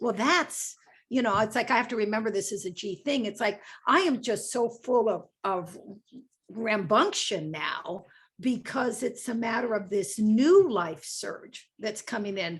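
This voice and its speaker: A woman talks in a fairly high, somewhat breathy voice. Her pace is fairly slow and her intonation lively. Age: 60s. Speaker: book club discussion guest. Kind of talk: casual book club discussion.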